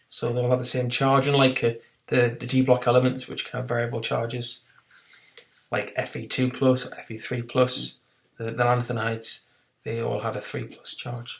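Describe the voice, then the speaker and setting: In a British accent, a man talks at medium pitch with monotone, flat intonation and big swings in loudness. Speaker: chemistry teacher. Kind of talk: recorded lesson. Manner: fast; hesitant, many fillers.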